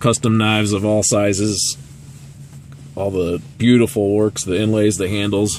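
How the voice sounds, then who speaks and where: Light background noise sits behind a man whose fairly low-pitched voice sounds dry, with no echo. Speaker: travel vlogger. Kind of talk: casual vlog chat. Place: street. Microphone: phone near.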